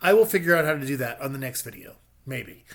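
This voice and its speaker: A man speaks at a moderate pace in a somewhat breathy, fairly high voice with ordinary pitch variation. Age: 50s. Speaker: vlogger. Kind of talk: casual self-deprecating vlog monologue. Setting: home video recording with ring light.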